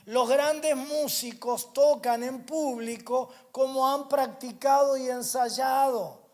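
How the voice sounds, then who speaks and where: A man with a Rioplatense accent speaks at a very slow pace with hardly any pauses. His extremely high pitch stays in a monotone, flat intonation. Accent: Argentine Rioplatense Spanish. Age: 60s. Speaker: pastor. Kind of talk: sermon. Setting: church. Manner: repetitive emphatic preaching.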